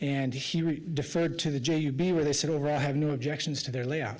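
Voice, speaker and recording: With an American accent, a man talks at a fairly quick pace in a fairly high pitch and fairly even intonation, and the room echo is audible. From Idaho, Magic Valley. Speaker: applicant representative for a concrete plant. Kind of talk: public hearing testimony. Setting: city planning commission meeting.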